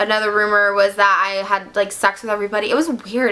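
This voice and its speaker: Very rapid speech over noticeable background noise. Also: woman. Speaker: vlogger. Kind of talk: storytime monologue. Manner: fast.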